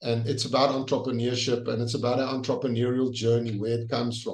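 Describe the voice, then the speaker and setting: Flat and monotone, a man speaks at a fairly quick pace in a somewhat breathy voice. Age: 60s. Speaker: leadership trainer and author. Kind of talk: interview. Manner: halting.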